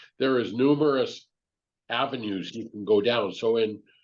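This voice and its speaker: Against a quiet background, a man with a plain, everyday voice speaks at medium pitch and a moderate pace with lively intonation. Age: 60s. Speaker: business owner and mentor. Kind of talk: podcast interview.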